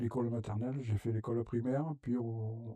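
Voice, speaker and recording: A man's medium-pitched voice has a dark, mellow tone and monotone, flat intonation. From southern France, Gard (Aramon), Italian parents. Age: 70s. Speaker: food bank president, retiree. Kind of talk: interview. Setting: web TV interview. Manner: halting, many hesitations.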